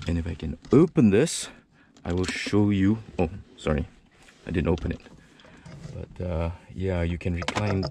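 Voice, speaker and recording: Very deep and low, a man's voice comes through with ordinary pitch variation. The sound is dry with no echo, and there is noticeable background noise. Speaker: car reviewer. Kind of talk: casual walkaround commentary. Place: hall. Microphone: phone near.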